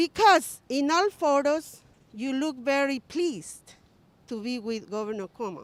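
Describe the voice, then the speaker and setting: A woman with a non-native accent speaks at a high pitch and a fairly slow pace. Her pitch swings very widely. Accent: foreign. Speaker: political rally speaker. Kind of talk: rally speech. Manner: halting.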